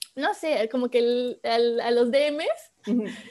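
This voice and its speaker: Talking at a very slow pace, a woman with a high pitch shows ordinary pitch variation. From Mexico, Córdoba, Veracruz. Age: 20s. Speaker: photographer. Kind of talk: casual interview.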